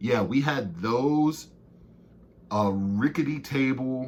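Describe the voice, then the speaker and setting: With an American accent, a man talks in an animated tone with ordinary pitch variation. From Baltimore, Maryland. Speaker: sports podcast co-host. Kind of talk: casual solo podcast recap. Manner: casual, animated.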